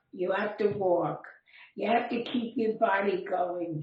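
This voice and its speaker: A woman's somewhat breathy voice at a medium pitch, fairly slow, with ordinary pitch variation and audible room echo. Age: 80s+. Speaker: centenarian. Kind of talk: casual chat.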